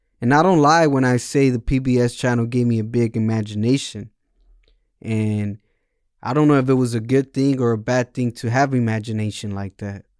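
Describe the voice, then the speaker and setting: In a Spanish accent, a man talks at a fairly quick pace with medium pitch and fairly even intonation, in a dry, close sound with no echo. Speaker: podcast host. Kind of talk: casual monologue.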